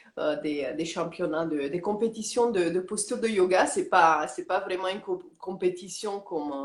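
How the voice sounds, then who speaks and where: In a Romanian accent, a woman talks at a fairly slow pace with ordinary pitch variation. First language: Romanian (speaking French). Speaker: yoga teacher. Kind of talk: interview. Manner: halting, many hesitations.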